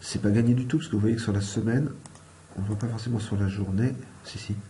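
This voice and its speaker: A soft-spoken man talks at a fairly quick pace. His fairly low pitch carries audible room echo. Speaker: forex trading analyst. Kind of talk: market analysis tutorial. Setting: at home.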